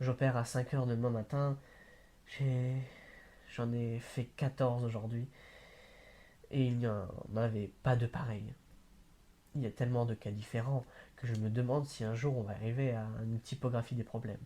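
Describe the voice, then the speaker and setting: At a moderate pace, the voice is somewhat breathy with a dark, mellow tone, monotone, flat intonation and long, frequent pauses. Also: man, medium pitch for a man. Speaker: amateur reader. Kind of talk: novel read aloud. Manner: hesitant, with stumbles and repeats.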